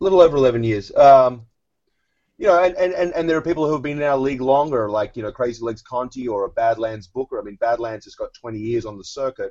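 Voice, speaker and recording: Very fast speech from a man with an Australian accent, medium in pitch, with ordinary pitch variation. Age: 40s. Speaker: competitive eating league executive. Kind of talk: podcast interview.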